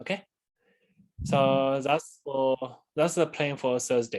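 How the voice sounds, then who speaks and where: At a fairly slow pace, a man is talking. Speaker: university lecturer. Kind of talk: lecture. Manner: halting.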